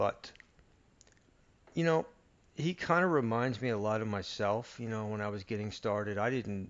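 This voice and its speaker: A soft-spoken man talks with lively intonation. He leaves long, frequent pauses. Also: moderate pace. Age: 50s. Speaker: audio reviewer YouTuber. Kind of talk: unscripted casual monologue. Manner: soft-spoken, keeping voice low; halting, many fillers.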